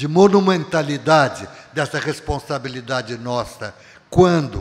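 This man speaks very slowly, his pitch moving in an ordinary way. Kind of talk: lecture. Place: hall. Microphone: podium.

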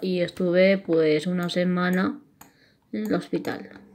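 Speaking at a medium pitch, a woman takes a fairly slow pace. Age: 20s. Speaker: YouTuber. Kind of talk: casual vlog narration. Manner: halting.

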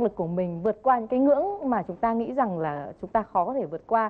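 Lively intonation at a very fast pace. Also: woman. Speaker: TV talk show host. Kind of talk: TV interview. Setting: TV studio with audience. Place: studio. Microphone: lapel.

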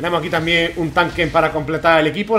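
Over light background noise, a man speaks at a very fast pace in a high voice. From Spain. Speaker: gaming YouTuber. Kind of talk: gameplay commentary. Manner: animated. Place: home room. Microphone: headset.

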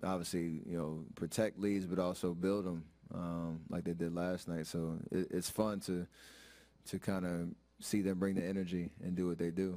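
A man speaks at a moderate pace. His very deep, low voice stays monotone and flat. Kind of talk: interview answer. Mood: relaxed, smiling. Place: hall. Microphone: podium.

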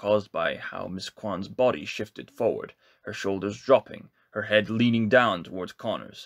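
What you hear is plain reading aloud.

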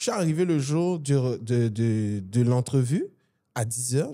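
Over a quiet background, a man speaks at a very slow pace with a medium pitch. His tone is dark and mellow, and his pitch variation is ordinary. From Côte d'Ivoire. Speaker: business executive, event organization president; podcast guest. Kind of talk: interview conversation. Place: studio. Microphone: studio mic.

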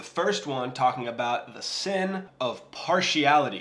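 The man's delivery moves at a fairly slow pace. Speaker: Bible teacher vlogger. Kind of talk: casual Bible teaching. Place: kitchen.

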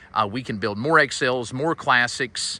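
With a bright, sharp tone, a man talks at a moderate pace in a dry sound with no echo. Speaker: RV dealer salesman. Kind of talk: casual product walkaround commentary. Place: street.

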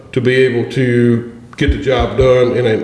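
At a moderate pace, a man speaks at a medium pitch with little pitch movement and a slightly mellow tone, with audible room echo.

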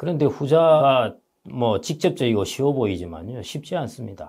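The voice has a dark, mellow tone with vocal fry. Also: man. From South Korea. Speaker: economist and book author; guest. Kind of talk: interview. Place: studio. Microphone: lapel.

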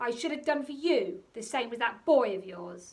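In a put-on character voice, a woman growls in a furious tone at a high pitch and moderate pace, with very wide pitch swings and big swings in loudness. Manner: furious, growling.

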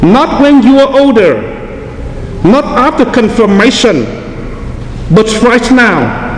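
Over clear background noise, a man speaks slowly at an extremely high pitch with big pitch swings.

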